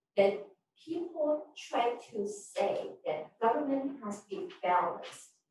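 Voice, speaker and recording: In a room with audible echo, a woman speaks at a very slow pace and a high pitch, with very wide pitch swings and big swings in loudness. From Korea and Japan. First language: Korean. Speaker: politician. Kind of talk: press conference speech.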